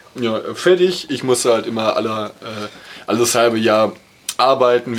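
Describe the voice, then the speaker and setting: A man's medium-pitched voice comes through with noticeable background noise around it. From Ruhr area, near Dortmund. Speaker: podcast co-host. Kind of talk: casual chat.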